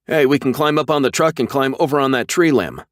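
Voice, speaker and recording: A man in a put-on character voice, fairly high in pitch, rattles along at a very fast pace with fairly even intonation and very even loudness, the sound dry and close with no echo on a very clean recording with a silent background. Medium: read story. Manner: shouting.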